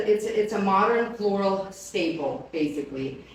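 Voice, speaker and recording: A woman speaks very slowly at a medium pitch. Audible room echo and noticeable background noise are present. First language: not English. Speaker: flower company presenter. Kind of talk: live product presentation. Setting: live stream on camera. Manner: casual, chatty.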